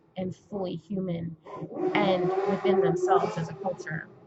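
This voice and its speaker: Amid noticeable background noise, a woman with an American accent speaks at a medium pitch and a fairly slow pace. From California. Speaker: aspiring writer and vlogger. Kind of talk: casual vlog monologue. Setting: indoors, Mardi Gras outside window.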